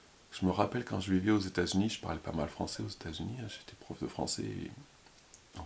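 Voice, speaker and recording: Mumbling from a man at a very deep, low pitch, fairly quick pace and lively intonation. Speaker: YouTuber, former French teacher. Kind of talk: casual vlog monologue. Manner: fast.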